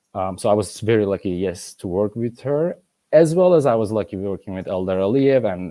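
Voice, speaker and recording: In a Turkish accent, a man speaks at a fairly quick pace with ordinary pitch variation, the sound dry and close with no echo. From Turkey. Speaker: ballet master and former principal dancer. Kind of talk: interview conversation. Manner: halting.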